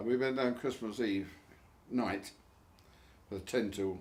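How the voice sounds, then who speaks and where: An Essex accent at a fairly slow pace, with ordinary pitch variation. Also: man. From Barking, Essex, England. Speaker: war veteran. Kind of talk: interview answer.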